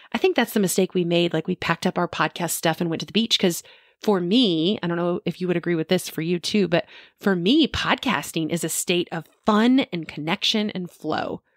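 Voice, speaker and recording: In a dry sound with no echo and a quiet background, a woman with an unremarkable speaking voice talks at a fairly quick pace and fairly low pitch with ordinary pitch variation. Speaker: podcast co-host. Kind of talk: casual podcast conversation. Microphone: studio mic.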